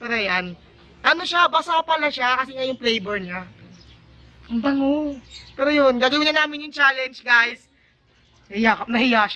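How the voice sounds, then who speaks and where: In a raised, projected voice at an extremely high pitch, a man talks at a moderate pace with lively intonation, big swings in loudness, and long, frequent pauses. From Philippines. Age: 20s. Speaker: YouTube vlogger. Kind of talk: casual talk to camera. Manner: playful, joking.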